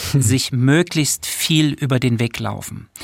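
Speaking very slowly at a medium pitch, a man keeps his intonation fairly even, and the sound is dry and close with no echo. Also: very clean recording, silent background. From Saxony, Germany (Döbeln). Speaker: cultural manager. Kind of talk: interview. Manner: hesitant, many fillers.

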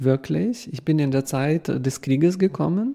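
In a Ukrainian accent, a man speaks with a dark, mellow tone and ordinary pitch variation against a quiet background. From western Ukraine. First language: Ukrainian (speaking German). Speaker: documentary filmmaker. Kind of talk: panel interview before live audience. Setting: theater stage with audience.

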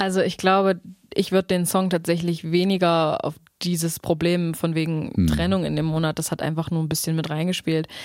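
Her pitch fairly low, a woman speaks at a fairly quick pace with monotone, flat intonation. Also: very clean recording, silent background. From Saxony-Anhalt, Germany (Staßfurt). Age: 20s. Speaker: singer-songwriter. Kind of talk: casual interview chat.

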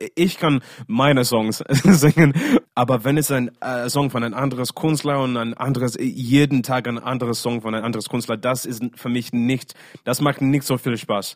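At a moderate pace, a man speaks in an English accent at medium pitch with fairly even intonation. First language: English (speaking German). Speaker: singer. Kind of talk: casual interview. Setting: video call. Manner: halting.

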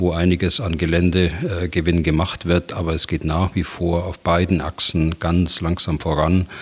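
Over noticeable background noise, a man with a very deep, low pitch speaks at a moderate pace in a monotone, flat intonation. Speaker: retired general, military expert. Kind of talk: expert interview.

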